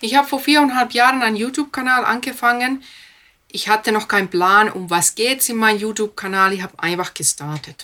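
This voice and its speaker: A woman with a fairly high pitch, lively intonation, a bright, sharp tone and a fairly quick pace. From Finland. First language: Finnish (speaking German). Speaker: speech trainer. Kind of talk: interview. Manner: fluent without filler sounds.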